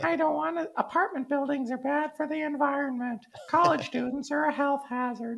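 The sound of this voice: A squeaky, high-pitched put-on character voice, soft-spoken, at a moderate pace.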